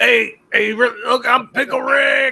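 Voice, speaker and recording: Using a put-on character voice, a man talks at an extremely high pitch and a fairly slow pace. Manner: cartoon impression.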